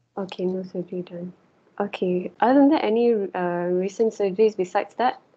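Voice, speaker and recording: Speaking at a fairly quick pace with a Malaysian accent, a woman uses ordinary pitch variation. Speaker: medical student. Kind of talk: mock history taking. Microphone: video call.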